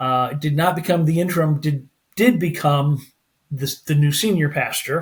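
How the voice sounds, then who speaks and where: With an American accent, a man talks at a fairly slow pace in a fairly high, somewhat breathy voice, keeping his intonation fairly even. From Pennsylvania. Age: 60s. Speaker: former pastor, family life coach. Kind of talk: podcast interview. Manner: halting, many fillers.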